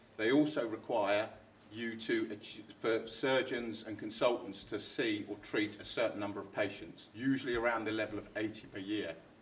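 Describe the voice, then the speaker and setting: Over noticeable background noise, a man speaks at a medium pitch and moderate pace with fairly even intonation. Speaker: NHS commissioning manager presenting to a health board. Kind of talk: board meeting presentation.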